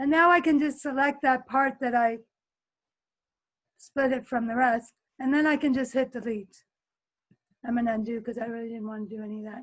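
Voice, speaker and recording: A woman with a high voice speaks at a fairly quick pace, her intonation fairly even and her loudness swinging widely. She leaves long, frequent pauses against a quiet background. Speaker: teacher running a video editing workshop. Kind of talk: tutorial. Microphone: webcam.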